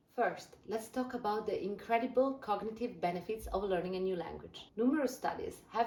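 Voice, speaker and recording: A woman speaks with an Italian accent. Background noise is noticeable. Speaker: language learning youtuber. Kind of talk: scripted explainer video.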